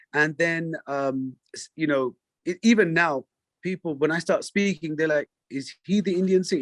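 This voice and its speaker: A man speaks at a high pitch with ordinary pitch variation. His moderate pace comes through in a dry, close sound with no echo. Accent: London. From London, England. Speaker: singer. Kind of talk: interview conversation. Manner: halting, many fillers.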